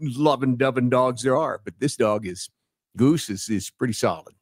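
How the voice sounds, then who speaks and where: At a moderate pace, the man talks in a medium pitch. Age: 60s. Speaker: podcast guest. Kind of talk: casual chat. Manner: animated.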